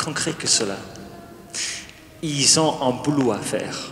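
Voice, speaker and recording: Talking at a very slow pace, a man uses a fairly high pitch with ordinary variation. Room echo and noticeable background noise are both audible. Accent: English. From England. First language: English (speaking French). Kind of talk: wedding homily and liturgy. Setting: church wedding with congregation, microphones.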